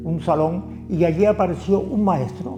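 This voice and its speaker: A man with a Canarian accent is heard over noticeable background noise. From Canary Islands, Tenerife (La Orotava). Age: 70s. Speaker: community activist. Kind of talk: interview answer.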